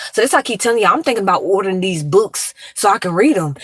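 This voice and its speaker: Over noticeable background noise, a woman talks at a very fast pace with medium pitch and lively intonation. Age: 30s. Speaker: live-stream commentator. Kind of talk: casual live-stream chat. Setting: in a car. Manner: soft-spoken.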